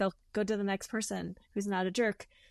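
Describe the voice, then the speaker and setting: The woman speaks at a fairly quick pace in a medium pitch with monotone, flat intonation. Her very clean recording has a silent background and a dry, close sound with no echo. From Switzerland and Montreal, expat childhood. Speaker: stage actress. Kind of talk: casual interview chat. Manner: many fillers and restarts.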